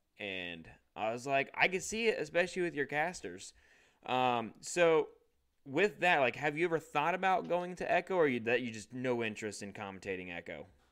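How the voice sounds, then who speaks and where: A man with a Midwestern American accent speaks at a moderate pace in a fairly high pitch. His pitch swings very widely. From US Midwest, Illinois. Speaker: podcast host. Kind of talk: casual chat.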